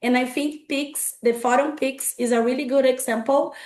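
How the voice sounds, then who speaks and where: A woman with a Portuguese accent speaks at a high pitch. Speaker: consumer rights advocate. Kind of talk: panel presentation. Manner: halting.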